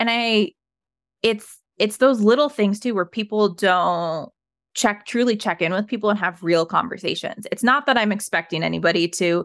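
In a very clean recording with a silent background, a woman with a normal speaking voice and an American accent talks at a fairly quick pace with ordinary pitch variation. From Colorado, US. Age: 30s. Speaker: trauma survivor sharing her story. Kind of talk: casual interview conversation.

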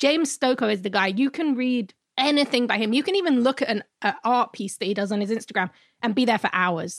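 With lively intonation and a London accent, a woman at a fairly high pitch speaks at a very fast pace, the sound dry and close with no echo on a very clean recording with a silent background. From London, England. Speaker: pop culture podcast co-host. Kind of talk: casual chat.

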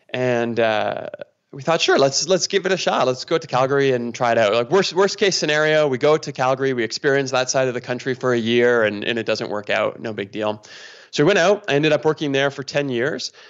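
Using a plain, everyday voice, a man with a Canadian accent talks at a fairly quick pace with ordinary pitch variation. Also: medium pitch for a man. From Canada, near Toronto. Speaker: pastor. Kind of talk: casual interview conversation.

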